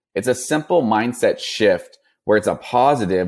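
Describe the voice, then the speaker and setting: A man with an American accent at a medium pitch, on a very clean recording with a silent background. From Northern California, Napa area. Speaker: non-alcoholic bottle shop founder. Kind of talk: interview.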